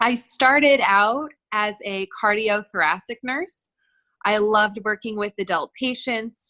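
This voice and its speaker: Loud and fairly slow, a woman with an American accent speaks at a fairly high pitch with ordinary pitch variation, a bright, sharp tone and a dry, close sound with no echo. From US West Coast, Los Angeles. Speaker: nurse. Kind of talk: self-introduction in online class. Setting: video call. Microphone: too quiet, has to speak loud.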